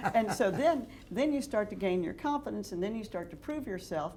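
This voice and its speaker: With audible room echo, a woman at a medium pitch speaks at a moderate pace, her pitch swinging very widely. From Texas, Dallas. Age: 60s. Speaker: real estate developer. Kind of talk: interview.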